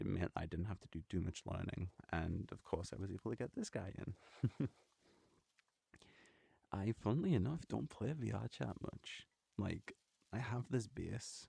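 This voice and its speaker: With a dark, mellow tone and vocal fry, a man of fairly low pitch speaks fairly slowly with lively intonation and long, frequent pauses. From northeast of England. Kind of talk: ASMR casual talk to camera. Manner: soft-spoken.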